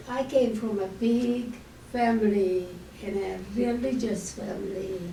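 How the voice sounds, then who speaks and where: With a Hungarian accent, a woman speaks very slowly at a fairly high pitch, with audible room echo and noticeable background noise. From Hungary. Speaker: Holocaust survivor speaker. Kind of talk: testimony.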